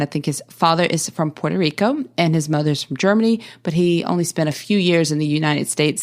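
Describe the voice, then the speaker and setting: A woman with a Southern US accent talks at a fairly quick pace and a fairly low pitch. Her pitch varies in an ordinary way, on a very clean recording with a silent background. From US South. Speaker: podcast host. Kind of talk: podcast introduction monologue. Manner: casual with frequent fillers and repetitions.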